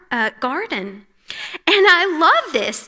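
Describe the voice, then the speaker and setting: Very slowly, a woman speaks in a raised, projected voice with very wide pitch swings. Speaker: conference speaker, pastor's wife. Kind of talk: women's conference talk. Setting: church stage with audience.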